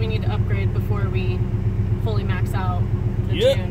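Loud background noise accompanies a woman talking at a fairly quick pace. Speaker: car enthusiast vlogger. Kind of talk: casual vlog chat. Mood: relaxed, explaining. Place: car.

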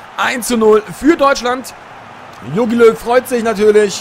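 Noticeable background noise sits behind the recording. A man talks with ordinary pitch variation. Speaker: video game streamer. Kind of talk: live-style sports commentary over FIFA gameplay highlights. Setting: recorded voiceover over game footage. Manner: casual, friendly, chatty address to viewers.

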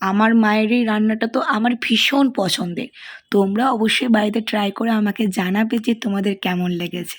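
Somewhat breathy, a woman's voice sits at a fairly high pitch with fairly even intonation. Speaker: cooking vlogger. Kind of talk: recipe tutorial voiceover.

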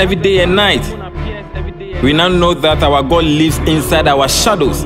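A man's voice over clear background music. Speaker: poet. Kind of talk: spoken word poetry. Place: studio.

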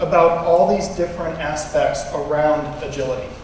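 Strong room echo and light background noise surround a man's voice. He speaks at a moderate pace. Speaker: conference presenter. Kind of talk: lecture. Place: hall.

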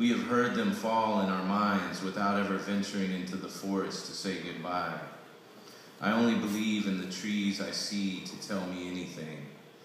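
A man with monotone, flat intonation amid strong room echo and light background noise. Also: moderate pace. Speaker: poet reading own work. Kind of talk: poetry reading. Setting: live reading at poetry event. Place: hall. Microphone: camera far.

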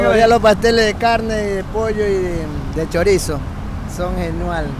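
At a fairly slow pace, a man speaks in a dry sound with no echo, with noticeable background noise behind him. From Manabí, Ecuador. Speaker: street pastry vendor. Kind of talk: interview answer. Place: street. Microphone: handheld.

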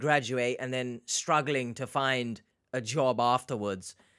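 A fairly slow, animated delivery in a British accent over a quiet background. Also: man. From UK. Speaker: reaction YouTuber. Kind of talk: casual reaction commentary. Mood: reflective, understanding.

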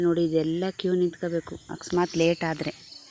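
In a flat monotone, a woman speaks with a fairly low pitch and a dark, mellow tone. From Hassan, Karnataka. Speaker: village vlogger. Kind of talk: casual vlog narration.

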